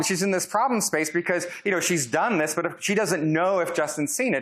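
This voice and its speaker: Audible room echo carries a man's high-pitched voice as he talks at a fairly quick pace with lively intonation. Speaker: professor. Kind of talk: lecture. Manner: loud.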